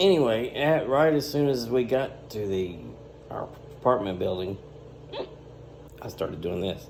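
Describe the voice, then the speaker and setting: Noticeable background noise runs behind a man with a Southern US accent. His pitch swings very widely, and he leaves long, frequent pauses. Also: medium pitch for a man, moderate pace. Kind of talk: casual talk to camera.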